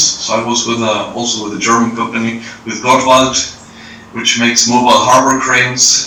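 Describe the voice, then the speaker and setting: A man speaks at a moderate pace in a flat, monotone delivery with a medium pitch, audible room echo, and noticeable background noise. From England, London. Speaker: engineer at a crane company. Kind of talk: interview. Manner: hesitant, many fillers.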